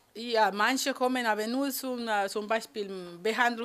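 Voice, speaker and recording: A woman speaks with a Spanish accent. Her pace is moderate and her pitch varies in an ordinary way. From Colombia, Cali. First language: Spanish (speaking German). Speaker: beautician. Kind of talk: interview.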